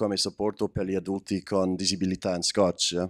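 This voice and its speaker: Someone with an English accent speaks at a moderate pace against a quiet background. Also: man. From Scotland. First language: English (speaking Italian). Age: 20s. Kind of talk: testimony. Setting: stage with audience. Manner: halting. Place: hall. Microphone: handheld.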